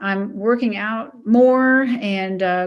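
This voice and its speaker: A woman talks in a normal speaking voice with a fairly high pitch. Her pitch varies in an ordinary way. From US Mid-Atlantic, Maryland. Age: 60s. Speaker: retired coast guard admiral. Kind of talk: interview.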